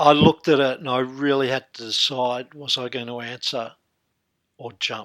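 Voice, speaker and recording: This speaker has an Australian accent and talks at a moderate pace. The intonation is monotone and flat, while the loudness swings widely. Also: man, medium pitch for a man. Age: 60s. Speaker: hypnotherapist. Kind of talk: interview.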